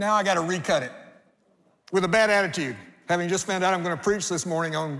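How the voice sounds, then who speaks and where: In a room with audible echo, a man with a high pitch speaks with ordinary pitch variation. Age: 60s. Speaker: pastor. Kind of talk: sermon. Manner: animated.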